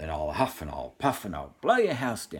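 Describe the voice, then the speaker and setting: A man's growling, put-on character voice, very deep and low in pitch, at a moderate pace. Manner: growling, cross.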